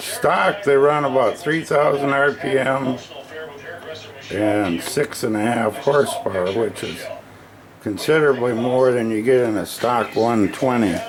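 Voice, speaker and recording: Over noticeable background noise, the speaker moves at a fairly slow pace with ordinary pitch variation. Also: man, medium pitch for a man. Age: 70s. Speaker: small workshop builder. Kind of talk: product demo video. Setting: workshop. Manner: casual, halting.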